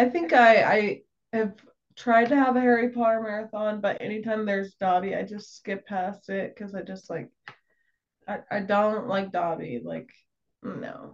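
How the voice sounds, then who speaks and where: A woman speaks at a moderate pace with a fairly high pitch and ordinary pitch variation. It is an unremarkable speaking voice. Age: 20s. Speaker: content creator. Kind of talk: casual chat.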